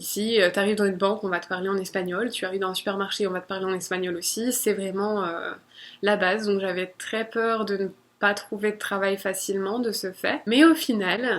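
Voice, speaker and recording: In a very clean recording with a silent background, a woman with a normal speaking voice talks at a fairly quick pace, her medium pitch and intonation fairly even. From France. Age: 20s. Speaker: vlogger. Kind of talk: personal vlog monologue.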